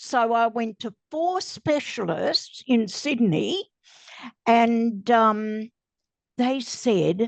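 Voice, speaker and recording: A woman with an Australian accent and lively intonation, dry and close with no echo, over a quiet background. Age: 80s+. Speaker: cancer survivor. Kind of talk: interview answer.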